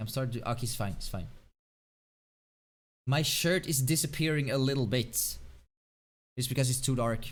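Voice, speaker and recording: With a Swedish accent, a man talks at a medium pitch with ordinary pitch variation, leaving long, frequent pauses amid audible room echo. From Sweden. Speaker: video game streamer. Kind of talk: live game stream commentary. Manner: fast; thinking out loud.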